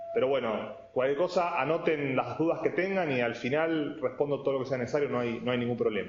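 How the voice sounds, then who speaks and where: Against noticeable background noise and audible room echo, a man speaks at medium pitch. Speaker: IT specialist and lecturer. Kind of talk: technical presentation. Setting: videoconference. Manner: fast.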